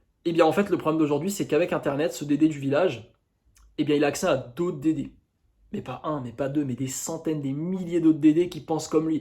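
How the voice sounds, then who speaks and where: An animated tone at a fairly quick pace, on a very clean recording with a silent background. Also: man, fairly high pitch for a man. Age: 20s. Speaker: YouTuber, dating coach. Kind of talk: casual monologue to camera.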